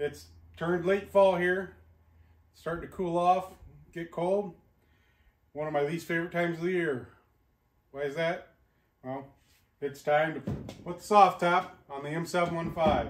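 A man speaks with a high pitch and fairly even intonation, leaving long, frequent pauses. The background is quiet, but audible room echo is present. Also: moderate pace. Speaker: vehicle restoration channel host. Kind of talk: casual vlog intro. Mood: relaxed, friendly. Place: garage.

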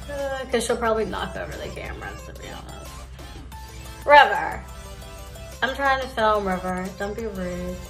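Faint music plays in the background as a woman speaks at a moderate pace, with long, frequent pauses and big swings in loudness. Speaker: beauty vlogger. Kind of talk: casual makeup tutorial chat. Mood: relaxed, joking. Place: home room. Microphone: phone near.

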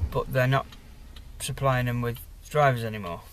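Somewhat breathy, a man speaks at a moderate pace with fairly even intonation, in a dry recording with no echo and light background noise. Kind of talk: casual vlog chat. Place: car. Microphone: phone near.

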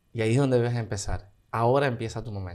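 A man with a Cuban accent at a medium pitch, very fast pace, quiet background. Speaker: dancer and singer. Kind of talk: interview. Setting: studio. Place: studio. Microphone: studio mic.

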